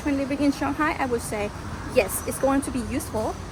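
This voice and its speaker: Noticeable background noise surrounds a woman with a Thai accent who talks at a moderate pace in a high pitch. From Thailand. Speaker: travel vlogger. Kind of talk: casual vlog Q&A. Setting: outdoors.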